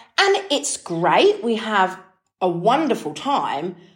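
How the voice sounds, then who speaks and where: A woman speaks with a British accent. Her tone is animated. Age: 30s. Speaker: health and habits podcaster. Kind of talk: casual solo monologue.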